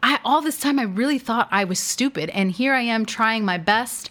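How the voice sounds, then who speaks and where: With lively intonation, a woman talks in a normal speaking voice at fairly high pitch. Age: 30s. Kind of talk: faith-based teaching monologue. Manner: conversational, with frequent fillers.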